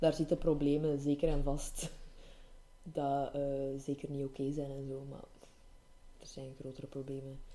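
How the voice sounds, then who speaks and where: A woman with a very deep, low pitch and a dark, mellow tone speaks at a moderate pace in a monotone, flat way, leaving long, frequent pauses as her loudness swings widely. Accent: Flemish. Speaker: podcast co-host. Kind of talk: casual chat.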